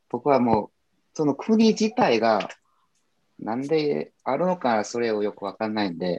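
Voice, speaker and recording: With a Korean accent, a man speaks in a dark, mellow tone. His medium pitch swings very widely. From South Korea. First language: Korean (speaking Japanese). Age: 30s. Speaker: guest who studied Japanese. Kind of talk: casual chat.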